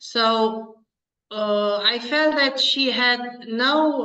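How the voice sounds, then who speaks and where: Very slow speech in a Romanian accent carries ordinary pitch variation over audible room echo. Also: woman. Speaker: pediatrician. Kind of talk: interview. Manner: halting.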